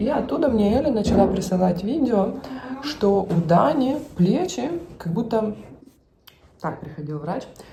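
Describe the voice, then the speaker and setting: Through audible room echo and noticeable background noise, a woman speaks at a medium pitch and a fairly slow pace, with very wide pitch swings and long, frequent pauses. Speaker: family vlogger. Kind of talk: casual vlog talk. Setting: hospital; in a car.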